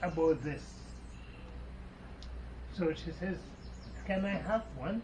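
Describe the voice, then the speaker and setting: There is noticeable background noise. Over it, a man talks. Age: 80s+. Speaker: fruit estate owner. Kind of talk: interview answer.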